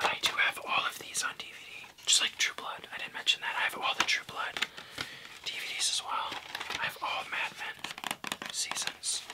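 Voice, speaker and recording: A man whispers in a relaxed tone, leaving long, frequent pauses. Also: moderate pace. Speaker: ASMR creator. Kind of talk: ASMR casual talk to camera. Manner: soft-spoken, relaxed. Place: home room.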